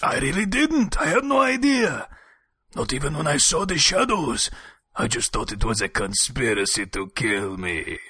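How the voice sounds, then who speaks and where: At a moderate pace comes a put-on character voice. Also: man, fairly high pitch for a man. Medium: audio drama. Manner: dry, sardonic.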